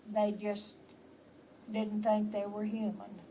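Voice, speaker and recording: In a Texan accent, a woman's somewhat breathy voice carries a dark, mellow tone. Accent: Texan Southern American. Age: 80s+. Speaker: storyteller. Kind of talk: family history storytelling.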